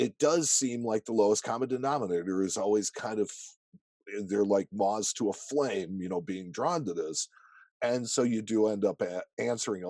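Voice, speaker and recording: A man talks at a moderate pace in a fairly low pitch, with a plain, everyday voice. His pitch varies in an ordinary way, and the background is quiet. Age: 50s. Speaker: coin dealer and podcast host. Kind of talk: casual interview. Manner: conversational with false starts.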